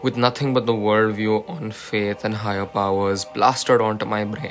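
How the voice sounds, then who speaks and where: Music plays in the background as a man speaks at a moderate pace. His fairly low voice keeps a fairly even intonation. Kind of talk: poetry reading. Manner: sleepy, early-morning.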